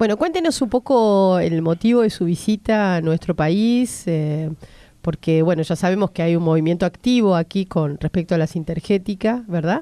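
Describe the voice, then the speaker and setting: A woman's dark, mellow tone at a moderate pace and very even loudness, in a quiet background with dry sound and no echo. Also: ordinary pitch variation. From Argentina. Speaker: radio host. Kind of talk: interview. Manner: halting. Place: studio. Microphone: studio mic.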